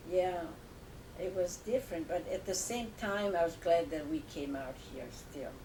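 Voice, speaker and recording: A woman's fairly low voice with lively intonation, at a fairly slow pace, against noticeable background noise. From Italy, Tuscany near Lucca. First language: Italian. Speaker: grandmother. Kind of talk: family interview. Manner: halting.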